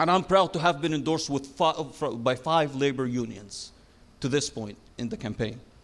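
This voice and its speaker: This man talks at a moderate pace with a non-native accent. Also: fairly high pitch for a man, ordinary pitch variation. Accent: noticeable foreign. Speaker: city council candidate. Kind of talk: debate closing statement. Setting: stage with audience.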